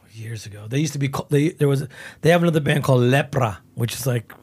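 Somewhat breathy at a medium pitch, a man rushes along at a very fast pace with ordinary pitch variation. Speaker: metal guitarist and band founder. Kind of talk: casual interview.

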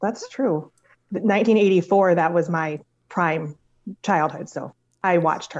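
With an American accent, a woman with a fairly low pitch speaks at a very slow pace, using ordinary pitch variation and long, frequent pauses. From Michigan. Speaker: trivia contestant. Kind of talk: casual chat.

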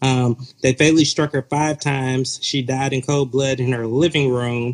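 A man with an American accent, an ordinary speaking voice, medium pitch, fairly even intonation and a moderate pace, in a dry, close sound with no echo. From US South, metro Atlanta. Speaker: author and pastor. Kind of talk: interview.

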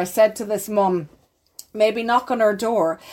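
The speaker talks in an Irish accent at a moderate pace with fairly even intonation. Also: woman. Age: 40s. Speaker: clinical psychologist. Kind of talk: interview.

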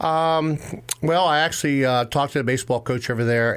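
A man speaks at a moderate pace with ordinary pitch variation and an American accent. His is an unremarkable speaking voice. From Western Maryland (Cumberland). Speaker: high school baseball coach. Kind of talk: interview.

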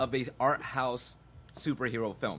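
On a very clean recording with a silent background, a man speaks with a bright, sharp tone at medium pitch. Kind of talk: casual chat.

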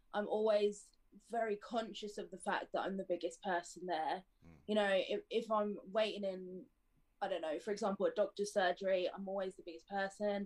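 A woman with a southern English accent, medium-pitched and flat in a monotone, at a moderate pace. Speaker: adult model. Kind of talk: casual interview.

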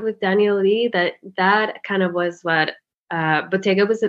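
In a Spanish accent, a woman talks at a medium pitch. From Spain, Madrid. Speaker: fashion stylist. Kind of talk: interview conversation.

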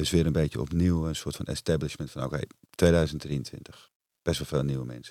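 A man with a very deep, low pitch, a dark, mellow tone, fairly even intonation and a fairly quick pace. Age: 40s. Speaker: entrepreneur and retreat center owner. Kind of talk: casual interview.

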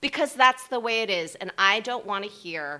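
A woman with an American accent, medium in pitch with very wide pitch swings, a bright, sharp tone and a fairly slow pace. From New Jersey. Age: 40s. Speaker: actress. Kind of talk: interview conversation.

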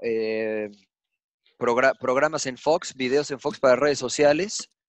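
A man in a normal speaking voice, fairly high in pitch with ordinary pitch variation, at a fairly slow pace, in a dry, close sound with no echo against a quiet background. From Mexico. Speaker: sports commentator. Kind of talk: casual chat.

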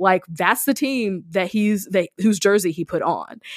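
A woman with an American accent speaks at a moderate pace in an ordinary speaking voice, on a very clean recording with a silent background. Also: dry, close sound with no echo. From rural US. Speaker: podcast host and ministry worker. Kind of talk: casual chat.

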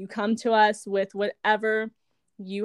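A woman with a normal speaking voice and medium pitch talks at a moderate pace, recorded dry and close with no echo in a very clean recording against a silent background. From California. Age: 20s. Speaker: wellness coach and business founder. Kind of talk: casual interview chat.

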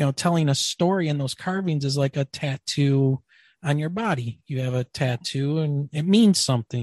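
Speaking in an American accent, a man has a fairly high, somewhat breathy voice with ordinary pitch variation at a moderate pace. The sound is dry and close with no echo, over a quiet background. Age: 50s. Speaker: podcast host. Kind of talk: casual interview. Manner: animated.

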